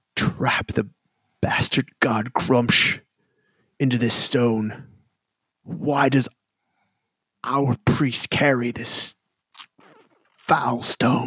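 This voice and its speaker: A man puts on a character voice at a medium pitch. He delivers it at a very slow pace. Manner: stern, scolding, grim.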